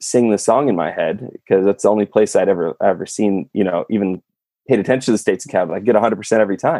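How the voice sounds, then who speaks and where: Dark and mellow in tone, a voice with an American accent races along at a very fast pace with ordinary pitch variation in a dry, close recording with no echo. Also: man. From California. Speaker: YouTuber and sock company co-founder. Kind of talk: casual interview.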